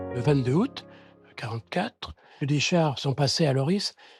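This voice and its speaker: The recording is very clean, with a silent background and a dry, close sound with no echo. A man speaks in a somewhat breathy voice. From central France, Loiret near Orléans. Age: 80s. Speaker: elderly witness of the Liberation. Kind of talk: testimony.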